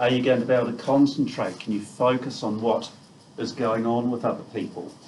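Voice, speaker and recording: A man's flat, monotone voice with a New Zealand accent at a fairly quick pace, amid noticeable background noise and audible room echo. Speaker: neuropsychiatrist giving a talk. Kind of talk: lecture. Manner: loud. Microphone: quiet at first, not using a microphone.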